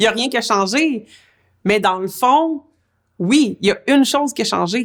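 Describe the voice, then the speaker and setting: Ordinary pitch variation accompanies speech delivered at a moderate tempo. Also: woman. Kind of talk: interview answer.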